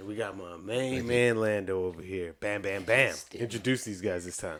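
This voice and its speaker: With a normal speaking voice, a man of fairly low pitch speaks at a moderate pace, showing big swings in loudness and ordinary pitch variation. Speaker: podcast host. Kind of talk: casual chat.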